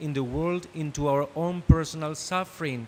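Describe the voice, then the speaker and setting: A man with a Spanish accent speaks at a fairly high pitch. His pace is moderate and his intonation fairly even. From Argentina. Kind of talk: prepared panel speech read from script. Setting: conference panel. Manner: reading from script.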